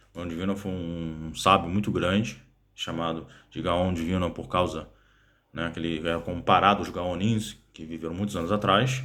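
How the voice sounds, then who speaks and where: In a very deep, low voice with a bright, sharp tone, a man talks at a moderate pace with fairly even intonation, and audible room echo is present. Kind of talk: casual explainer monologue. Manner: halting, many fillers.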